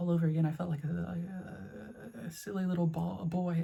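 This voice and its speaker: This man's voice sits high for a man and has a dark, mellow tone. His pitch varies in an ordinary way. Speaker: video essayist. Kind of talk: personal video essay. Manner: stuttering.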